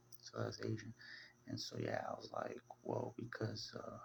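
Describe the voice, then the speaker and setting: Soft-spoken and gentle in tone, the voice moves at a fairly slow pace. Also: man. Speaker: religious video blogger. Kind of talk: casual monologue. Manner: soft-spoken, low and gentle; halting, many fillers.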